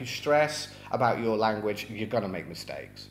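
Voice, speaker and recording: With audible room echo, a man speaks at a moderate pace using ordinary pitch variation. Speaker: English teacher. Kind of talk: tutorial. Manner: casual, with fillers.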